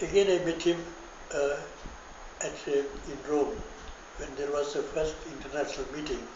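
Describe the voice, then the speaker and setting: This man keeps a moderate pace broken by long, frequent pauses, with noticeable background noise behind him. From India. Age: 80s+. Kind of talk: interview answer.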